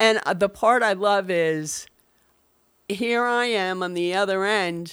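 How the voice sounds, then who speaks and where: A woman with an American accent speaks at a very slow pace and medium pitch, with ordinary pitch variation. The recording is very clean, with a silent background. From New York City. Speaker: podcast host. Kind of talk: casual chat.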